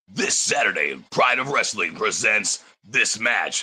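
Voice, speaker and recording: A man puts on a raspy character voice. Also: fairly slow pace. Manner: hyped, promotional announcing.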